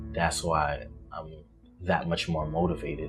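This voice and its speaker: Very deep, low male voice with music in the background. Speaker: college student. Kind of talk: interview answer. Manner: casual.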